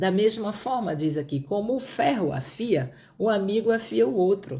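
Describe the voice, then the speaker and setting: With a Pará accent, a woman speaks at a moderate pace in a dark, mellow tone at medium pitch, with very wide pitch swings and vocal fry. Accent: Brazilian Portuguese, northern Pará. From Brazil, Piauí (Northeast). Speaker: Bible teacher. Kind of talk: Bible study livestream. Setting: live stream.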